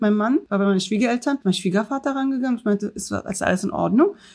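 Very fast speech with ordinary pitch variation. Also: woman. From Berlin Neukölln. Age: 30s. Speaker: state politician. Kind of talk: interview. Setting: video call.

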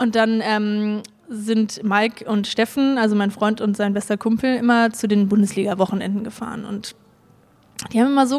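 Against noticeable background noise, a fairly high-pitched woman talks at a moderate pace in a monotone, flat intonation. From Germany, Hamburg. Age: 20s. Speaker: pediatric nurse and amateur boulderer. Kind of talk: interview, casual personal account. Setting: recorded in Hamburg.

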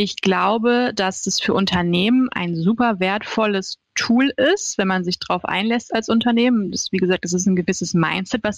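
At a moderate pace, a woman talks in a normal speaking voice with medium pitch and ordinary pitch variation. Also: dry, close sound with no echo. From Hannover, northern Germany. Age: 30s. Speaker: social media manager. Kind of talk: interview.

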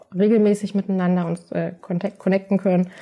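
In a very clean recording with a silent background, a woman with a dark, mellow, somewhat breathy voice at medium pitch speaks in a flat monotone. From Berlin, Germany. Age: 30s. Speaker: patient support worker with MS. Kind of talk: interview.

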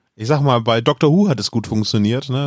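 At a fairly quick pace, a man speaks in a normal speaking voice at a medium pitch. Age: 40s. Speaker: podcaster guest. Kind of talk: casual chat.

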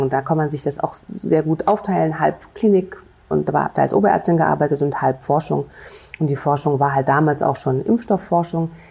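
At a fairly quick pace, a woman speaks with a very deep, low pitch, a dark, mellow tone and vocal fry. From Rhineland, Germany (Bonn). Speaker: infectious disease physician and professor. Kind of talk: interview. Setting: city hall studio. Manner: hesitant, many fillers.

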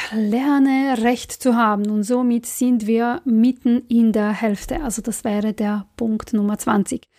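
Her voice is fairly high, with a dark, mellow tone and ordinary pitch variation. This woman speaks very slowly. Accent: non-native. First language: not German (speaking German). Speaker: creativity and career coach. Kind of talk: motivational podcast monologue.

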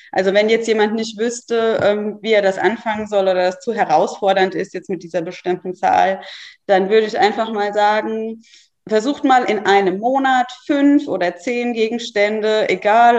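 Speaking with a plain, everyday voice, a woman has a fairly high pitch and ordinary pitch variation. Her pace is fairly slow. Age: 30s. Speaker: mother and social media creator. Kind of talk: casual chat.

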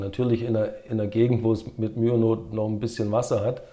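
The voice has a dark, mellow tone, a somewhat breathy quality and a fairly quick pace. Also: man. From Swabia, southern Germany (Herrenberg), some childhood years in America. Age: 50s. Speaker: former pro windsurfer and entrepreneur. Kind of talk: casual interview.

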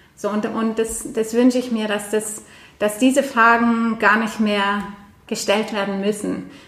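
Over noticeable background noise, a woman speaks fairly slowly at a fairly high pitch in a flat monotone. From Norway. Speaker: podcast host. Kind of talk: casual chat.

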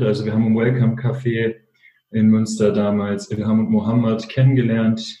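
A man with a dark, mellow tone talks at a medium pitch. His delivery is monotone and flat, at a moderate pace. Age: 20s. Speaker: social entrepreneur, fashion label co-founder. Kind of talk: interview.

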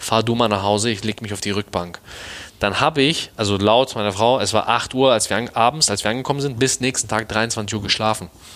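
Fairly low in pitch, a man speaks at a very fast pace with ordinary pitch variation. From Hamburg, northern Germany. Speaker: personal trainer. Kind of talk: casual interview. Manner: colloquial, filler-heavy.

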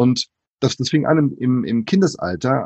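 This man is heard with a dry, close sound that has no echo. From Brazil, moved to Germany at five. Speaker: author and diversity speaker. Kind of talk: casual interview.

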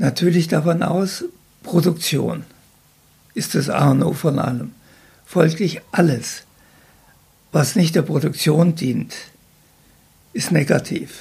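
A man with a fairly high pitch talks at a very slow pace, showing ordinary pitch variation. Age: 80s+. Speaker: retired agricultural scientist. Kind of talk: casual interview. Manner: halting.

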